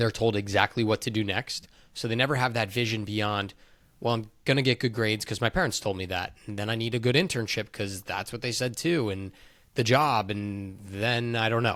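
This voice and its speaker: On a very clean recording with a silent background, a man in a normal speaking voice talks at a fairly quick pace with ordinary pitch variation. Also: medium pitch for a man. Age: 30s. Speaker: podcast host. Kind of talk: casual chat.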